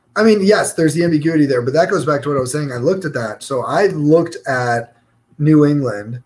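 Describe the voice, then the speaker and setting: In an American accent, a man with a fairly high pitch and ordinary pitch variation has a plain, everyday voice. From New York. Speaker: podcast co-host. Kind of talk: casual chat.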